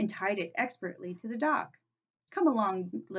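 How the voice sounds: A quiet background and a natural reading voice with lively intonation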